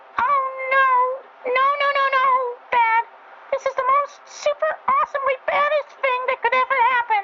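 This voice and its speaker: In a put-on character voice, a female-sounding speaker holds an extremely high pitch with monotone, flat intonation at a moderate pace, leaving long, frequent pauses over light background noise. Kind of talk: dramatic story reading. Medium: read story. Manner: excitable, panicky.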